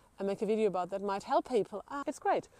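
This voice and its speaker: Her pitch fairly high, a woman speaks with a dark, mellow tone and lively intonation. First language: not English. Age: 40s. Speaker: solo living vlogger. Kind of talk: casual talk to camera. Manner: halting, with fillers.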